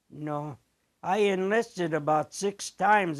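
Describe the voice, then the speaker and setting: This man speaks in an American accent with a voice pitched high for a man. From US Midwest, Elkhart, Indiana. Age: 80s+. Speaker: retired barber. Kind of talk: interview. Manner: halting.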